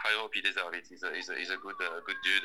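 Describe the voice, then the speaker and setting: A man can be heard talking with noticeable background noise behind him. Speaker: professional footballer. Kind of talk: interview. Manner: halting.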